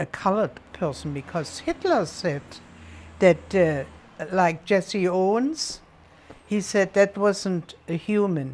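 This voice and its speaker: Speaking very slowly with a German accent, a woman uses lively intonation and leaves long, frequent pauses. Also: medium pitch for a woman. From Berlin, Germany. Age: 80s+. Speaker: World War II survivor. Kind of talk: interview answer. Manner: energetic.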